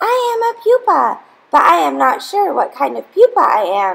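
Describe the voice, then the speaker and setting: A woman puts on a character voice, squeaky and extremely high in pitch. It is a put-on voice throughout. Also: moderate pace. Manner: timid, unsure.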